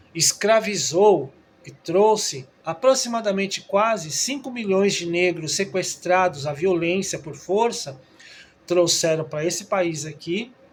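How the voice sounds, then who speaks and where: Someone speaks at a very slow pace with ordinary pitch variation over noticeable background noise. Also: man, high pitch for a man. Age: 60s. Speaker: trained teacher, video commentator. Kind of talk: opinion monologue. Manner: halting, with frequent filler 'é'.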